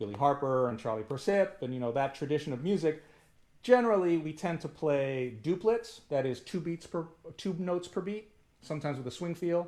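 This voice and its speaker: Speaking at a fairly quick pace, a man uses lively intonation and a fairly high pitch. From US, Punjabi family. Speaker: musician teaching a workshop. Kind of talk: online workshop. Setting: video call. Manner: fast.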